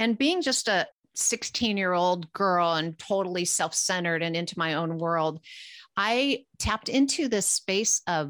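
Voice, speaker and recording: A woman with a Californian accent talks at a medium pitch with lively intonation. The sound is dry and close, with no echo. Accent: Californian American. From Los Angeles, US West Coast. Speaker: psychic medium, podcast co-host. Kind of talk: casual chat.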